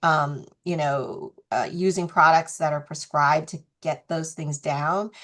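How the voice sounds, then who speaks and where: An unremarkable speaking voice from a woman, fairly low in pitch, with ordinary pitch variation, a fairly slow pace and a quiet background. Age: 60s. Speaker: skincare brand founder. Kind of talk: interview. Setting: video call.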